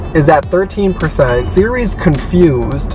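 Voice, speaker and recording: A man's voice comes through a dry sound with no echo over clear background music. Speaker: vlogger driving. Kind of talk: casual vlog chat. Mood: amused, a bit flustered. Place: car.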